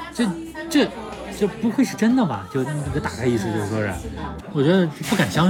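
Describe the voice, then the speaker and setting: Crowd noise fills the background while the speaker talks at a fairly quick pace. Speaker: podcast host. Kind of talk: casual chat. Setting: whisky bar.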